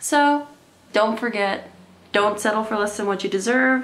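Her pitch fairly high, a woman speaks with ordinary pitch variation. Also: moderate pace. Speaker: comedy vlogger. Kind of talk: casual talk to camera. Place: home room. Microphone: camera far.

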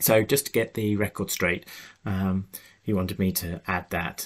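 Fairly low in pitch and fairly quick in pace, a man talks in an unremarkable speaking voice. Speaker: podcast host and animal behaviour researcher. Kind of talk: interview conversation. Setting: video call.

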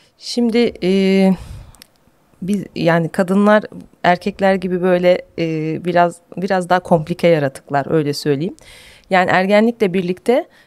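In a dry, close sound with no echo, a woman speaks fairly slowly at medium pitch with ordinary pitch variation. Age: 40s. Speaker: gynecologist. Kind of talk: interview. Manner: hesitant with fillers.

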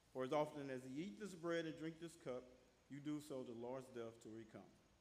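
This man's pitch varies in an ordinary way as he talks fairly quickly. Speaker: church member leading communion; church minister leading communion. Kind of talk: scripture reading and prayer. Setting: church. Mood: solemn, reverent. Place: church. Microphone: podium.

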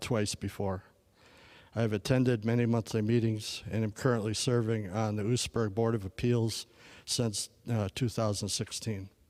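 On a very clean recording with a silent background, a man with a Wisconsin accent speaks at a medium pitch and a moderate pace in a monotone, flat way. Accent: Upper Midwest (Wisconsin). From Wisconsin, Sheboygan County. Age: 40s. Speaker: local election candidate. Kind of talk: candidate forum statement. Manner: formal.

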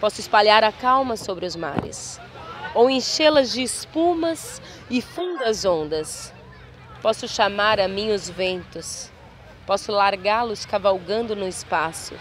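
Crowd noise fills the background while the speaker goes at a very slow pace. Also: woman, dry sound with no echo. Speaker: poetry reader. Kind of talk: poetry reading. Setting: outdoors, beach. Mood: calm, solemn, intimate. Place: beach. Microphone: phone near.

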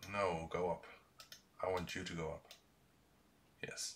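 In a Dutch accent, a man speaks at a moderate pace. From Netherlands. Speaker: YouTuber, retro computer hardware maker; YouTuber. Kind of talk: live-streamed tutorial. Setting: live stream from workshop. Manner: halting, many fillers. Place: home room.

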